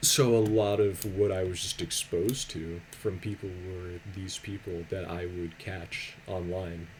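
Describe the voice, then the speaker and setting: The voice is soft-spoken and runs on with hardly any pauses. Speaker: YouTuber and streamer. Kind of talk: casual storytime commentary. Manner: quiet, soft-spoken.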